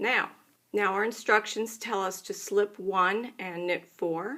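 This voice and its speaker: At a very slow pace, a woman speaks at medium pitch in a bright, sharp tone with fairly even intonation. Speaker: knitting instructor. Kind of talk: tutorial.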